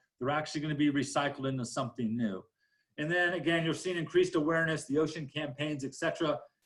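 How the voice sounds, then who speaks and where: This man has a fairly high pitch and ordinary pitch variation. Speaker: county solid waste official. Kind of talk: panel presentation. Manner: fast.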